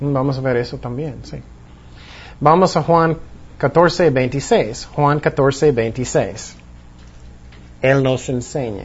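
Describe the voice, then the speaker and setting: A man's somewhat breathy voice at a very slow pace. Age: 40s. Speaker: pastor. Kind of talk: Bible study teaching. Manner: halting.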